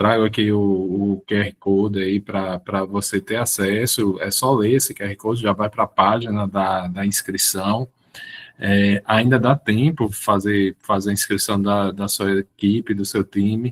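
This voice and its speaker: The pace is fairly slow. The intonation stays monotone and flat. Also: man, fairly low pitch for a man. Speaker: professor and public administrator. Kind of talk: online lecture. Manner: halting, many word repetitions.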